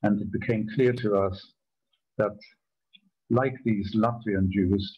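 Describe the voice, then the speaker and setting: A man speaks at a fairly slow pace with a fairly low, somewhat breathy voice. His intonation is fairly even, and the background is quiet. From Germany. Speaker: Holocaust survivor. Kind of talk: testimony talk. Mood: grave, measured. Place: home room. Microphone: video call.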